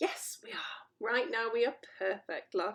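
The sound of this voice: The voice reads without strain. It is an unforced reading voice.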